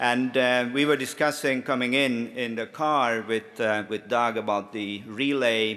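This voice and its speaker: Bright and sharp in tone, a man with a Swedish accent talks with fairly even intonation. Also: medium pitch for a man, fairly slow pace, hardly any pauses. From Finland, Swedish-speaking. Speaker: lobbyist and conference speaker. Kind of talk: conference speech. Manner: hesitant, many fillers.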